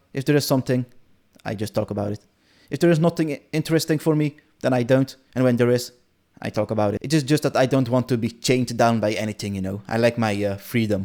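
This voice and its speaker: A man with a Dutch accent speaks very fast in a dark, mellow tone, his pitch varying in an ordinary way, on a very clean recording with a silent background. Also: medium pitch for a man. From Netherlands. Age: 20s. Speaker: gaming content creator. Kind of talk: casual vlog monologue. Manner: unscripted, hesitant with fillers.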